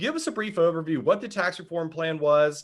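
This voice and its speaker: A man's voice with very wide pitch swings on a very clean recording with a silent background. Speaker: policy webinar host. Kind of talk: interview.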